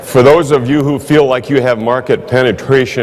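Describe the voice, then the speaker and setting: There is audible room echo and noticeable background noise. A man talks at a moderate pace in a Midwestern American accent. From US Midwest, Iowa. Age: 60s. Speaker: insurance manager. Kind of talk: conference speech.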